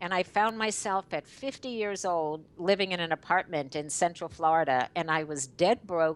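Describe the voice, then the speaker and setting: Using a plain, everyday voice, a woman talks at a medium pitch and a moderate pace with lively intonation. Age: 60s. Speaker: network marketing leader. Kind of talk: interview.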